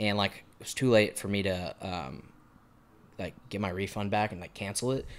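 Someone with a Texan accent talks at a moderate pace with ordinary pitch variation. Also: man, fairly low pitch for a man. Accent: Texan American. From Texas (Montgomery, near Houston). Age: 20s. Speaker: musician with a full-time sales job. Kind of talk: casual podcast interview.

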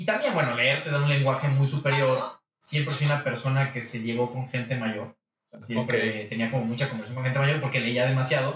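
Here is a man with an ordinary speaking voice at medium pitch. He keeps a fairly quick pace and fairly even intonation. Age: 30s. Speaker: local politician. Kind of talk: interview. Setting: studio.

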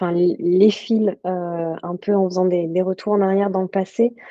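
A woman's dark, mellow voice, medium in pitch, with fairly even intonation. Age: 30s. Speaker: health journalist and author. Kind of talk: interview. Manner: halting.

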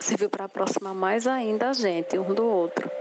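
A woman's voice with fairly even intonation over noticeable background noise. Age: 40s. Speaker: businesswoman. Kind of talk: testimony.

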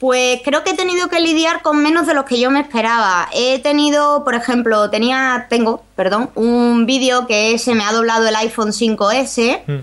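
At a fairly slow pace with hardly any pauses, a woman with a high pitch and ordinary pitch variation keeps her loudness very even over noticeable background noise. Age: 30s. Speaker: youtuber. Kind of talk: interview.

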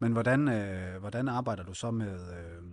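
Against a quiet background, a man with a fairly low pitch and ordinary pitch variation speaks in a normal speaking voice. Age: 30s. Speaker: podcast co-host. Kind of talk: podcast interview.

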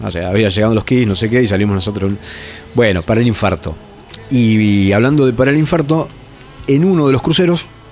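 A man at medium pitch with lively intonation, music playing in the background. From Argentina, Entre Ríos islands and Zárate. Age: 40s. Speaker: metal guitarist. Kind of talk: casual chat. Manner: halting, frequent repetitions.

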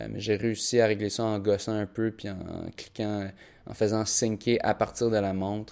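A man's fairly low voice with a Quebec accent, at a fairly slow pace in a monotone, flat intonation. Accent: Québécois French. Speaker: podcast host, primary school teacher and runner. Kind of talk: solo podcast monologue. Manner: halting, many fillers.

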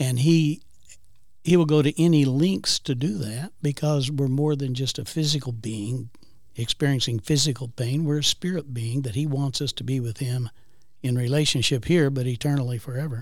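A man talks at a moderate pace in a medium pitch with ordinary pitch variation. He has a plain, everyday voice. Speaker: guest co-host. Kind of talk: casual chat.

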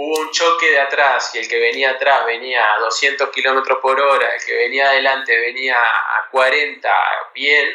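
Fairly even intonation and a fairly slow pace come through over noticeable background noise. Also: man, fairly high pitch for a man. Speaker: tech company CEO and university lecturer. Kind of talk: interview. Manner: halting, frequent repetitions.

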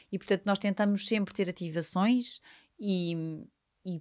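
On a very clean recording with a silent background, a woman speaks at a fairly slow pace in an ordinary speaking voice, medium in pitch with fairly even intonation. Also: dry, close sound with no echo. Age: 50s. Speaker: events company executive. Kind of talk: interview. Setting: studio.

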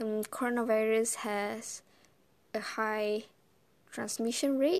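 Speaking at a very slow pace with long, frequent pauses, a woman uses a fairly high pitch and fairly even intonation. The recording is very clean, with a silent background. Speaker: podcast host. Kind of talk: casual solo monologue. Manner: halting, many fillers.

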